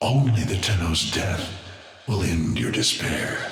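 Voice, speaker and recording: A man performs a put-on character voice at a fairly low pitch. He goes at a fairly slow pace, and the sound carries a strong echo. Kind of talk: video game villain. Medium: machinima. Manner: slow, cryptic, ominous.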